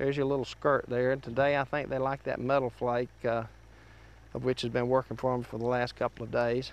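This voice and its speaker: A man at a fairly quick pace, monotone and flat in intonation, with a dry sound and no echo. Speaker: fishing show host. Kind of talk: tutorial. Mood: cheerful, relaxed. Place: boat. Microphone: lapel.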